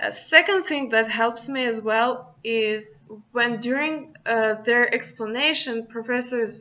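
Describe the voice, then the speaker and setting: Speaking very slowly, a woman with a Russian accent uses a fairly high pitch. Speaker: student. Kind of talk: class presentation.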